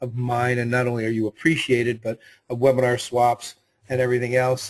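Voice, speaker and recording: Somewhat breathy and fairly quick, the voice carries an American accent. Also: man. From US South, Mississippi Gulf Coast. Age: 60s. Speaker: webinar host. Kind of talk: live webinar moderation. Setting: live webinar broadcast from home.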